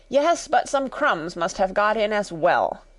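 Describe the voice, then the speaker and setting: In a put-on character voice, a woman speaks at a medium pitch with very wide pitch swings, a raspy sound and a fairly slow pace. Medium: read story. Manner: contrary, pedantic.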